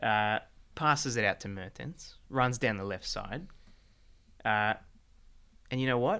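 A man with an Australian accent speaks at a fairly slow pace, leaving long, frequent pauses, at a medium pitch with ordinary pitch variation. His tone is bright, sharp and playful, and the recording is very clean with a silent background. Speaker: football show host. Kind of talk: casual banter podcast chat. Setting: studio, filmed video show. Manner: jokey, playful.

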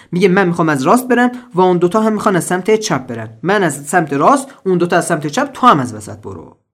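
A man at a high pitch with very wide pitch swings, a very fast pace and hardly any pauses. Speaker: English teacher podcaster. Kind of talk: tutorial. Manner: casual.

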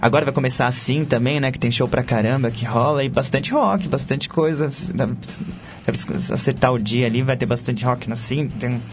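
A man's medium-pitched voice with fairly even intonation, over noticeable background noise. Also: moderate pace. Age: 20s. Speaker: rock guitarist and singer. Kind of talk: casual interview.

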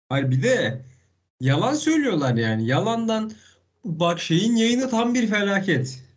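Audible room echo surrounds a man speaking at a very slow pace in a high voice. His pitch swings very widely while his loudness stays very even. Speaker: motorsport podcast co-host. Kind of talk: casual chat. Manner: animated. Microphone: poor internet connection, bad sound.

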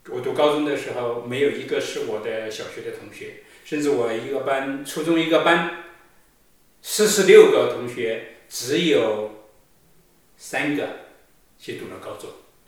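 A man speaks at a fairly slow pace with long, frequent pauses and big swings in loudness. Noticeable background noise and audible room echo come through. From China, rural Sichuan. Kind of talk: sermon. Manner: hesitant, many fillers.

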